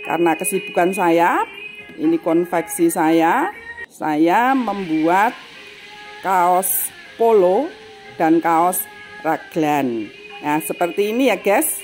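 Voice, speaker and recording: Faint music plays behind a woman who speaks very slowly with long, frequent pauses. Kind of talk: casual vlog chat. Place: workshop. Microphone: phone near.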